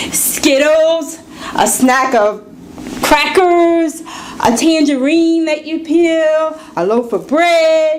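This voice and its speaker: A woman speaks very slowly at an extremely high pitch, with ordinary pitch variation. Audible room echo and noticeable background noise fill the recording. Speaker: public speaking club member. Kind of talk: prepared speech. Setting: club meeting with audience.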